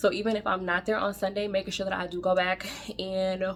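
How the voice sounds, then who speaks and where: A woman speaks at a fairly quick pace in a medium-pitched voice. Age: 30s. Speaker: faith vlogger. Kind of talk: casual vlog monologue. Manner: fast; animated.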